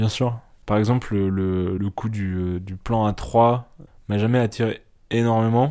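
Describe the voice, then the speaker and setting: Dark, mellow male voice, fairly low in pitch, with fairly even intonation at a very slow pace. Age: 20s. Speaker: interviewee. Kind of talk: intimate interview. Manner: hesitant.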